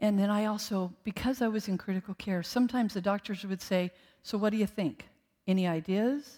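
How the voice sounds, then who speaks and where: A woman in an ordinary speaking voice, at a medium pitch and fairly quick pace, with fairly even intonation. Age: 60s. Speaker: guest preacher, former ICU nurse. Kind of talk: sermon. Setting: church service with congregation.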